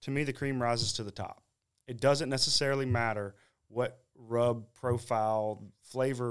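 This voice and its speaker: This man has a Southern US accent. His pace is moderate. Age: young. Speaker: competition barbecue cook. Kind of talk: casual interview.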